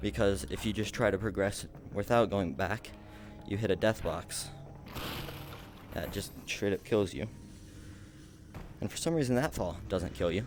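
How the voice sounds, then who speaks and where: With music in the background, a man at a fairly low pitch talks at a moderate pace with lively intonation and long, frequent pauses. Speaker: speedrunner streamer. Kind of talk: live gameplay commentary.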